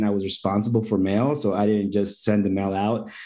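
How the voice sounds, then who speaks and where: Talking at a very fast pace, a man with a fairly low pitch is heard with audible room echo. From Mexico. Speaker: event producer. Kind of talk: interview.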